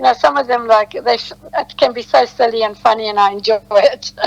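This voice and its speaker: Noticeable background noise fills the clip. Through it, a woman talks at a moderate pace. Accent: South African. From South Africa. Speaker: detox specialist. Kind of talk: casual chat. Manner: halting.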